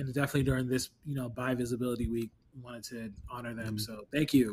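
At a moderate pace, a man talks in a medium-pitched, somewhat breathy voice with monotone, flat intonation. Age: 30s. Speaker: podcast co-host. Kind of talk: casual chat.

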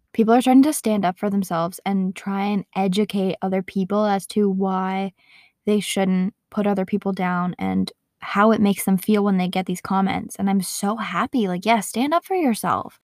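A woman with an unremarkable speaking voice talks at medium pitch with fairly even intonation. The recording is very clean, dry and close, with a silent background and no echo. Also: moderate pace. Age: 20s. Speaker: podcast host. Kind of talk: casual monologue.

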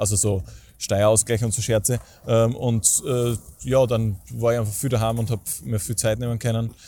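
On a very clean recording with a silent background, a somewhat breathy man speaks at a moderate pace and medium pitch with fairly even intonation. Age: 20s. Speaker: stadium announcer and event host. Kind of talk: casual interview.

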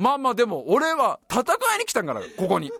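A man with a high pitch speaks in an animated tone, the sound dry and close with no echo. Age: 30s. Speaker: podcast host. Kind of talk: casual chat.

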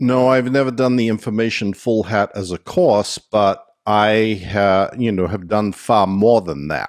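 With an unremarkable speaking voice, a man talks at a fairly low pitch and a fairly slow pace, with hardly any pauses. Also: ordinary pitch variation. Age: 60s. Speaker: former Scientology executive turned critic. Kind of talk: interview.

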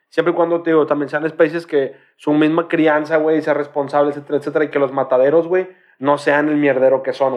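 Fairly quick and monotone, a man with a Mexican accent speaks at a fairly high pitch with flat intonation. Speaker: podcast co-host. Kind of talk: casual chat.

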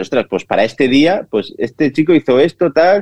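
Speaking in a plain, everyday voice, a man talks at a fairly quick pace with lively intonation. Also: dry, close sound with no echo. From Spain, Castellón (Vila-real). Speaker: chef and food influencer. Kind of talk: interview.

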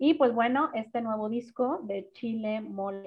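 A woman with a fairly high, somewhat breathy voice speaks at a fairly slow pace. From Guadalajara, Mexico. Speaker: singer-songwriter and vocal coach. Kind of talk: casual interview.

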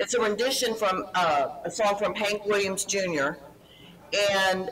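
A woman talks at a fairly slow pace in a Texan accent, her pitch medium. Noticeable background noise runs under her voice. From Houston, Texas. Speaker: actress and producer.

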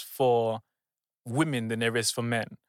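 With a London accent and a bright, sharp tone, a man talks at a moderate pace in a dry, close sound with no echo. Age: 20s. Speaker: business coach. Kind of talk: casual chat. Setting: studio.

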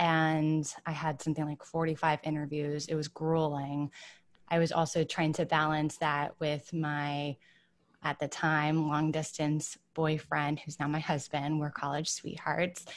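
With a Midwestern accent, a woman speaks in a very deep, low voice and flat, monotone intonation. Her pace is fairly slow over a quiet background. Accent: General American (Midwest). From Michigan, US Midwest. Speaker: wellness writer and entrepreneur. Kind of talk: casual interview.

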